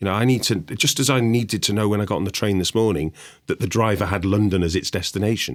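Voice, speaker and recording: A man with a northern English accent at a very fast pace, on a very clean recording with a silent background. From northern England. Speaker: investment sales executive. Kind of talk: podcast discussion.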